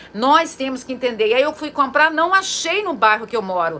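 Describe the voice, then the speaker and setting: A woman with a high pitch uses a raised, projected voice and lively intonation at a moderate pace over noticeable background noise. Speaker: psychologist and therapist. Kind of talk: informal talk to camera. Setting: at home.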